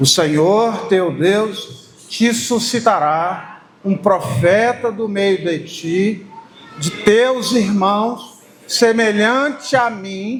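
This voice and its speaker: A booming, put-on character voice with a fairly high pitch drags along at a very slow pace. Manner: solemn and resonant.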